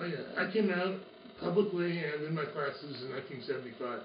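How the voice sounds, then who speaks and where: The speech moves at a fairly quick pace, with noticeable background noise and audible room echo. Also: man. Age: 60s. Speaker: college professor. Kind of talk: interview. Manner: halting.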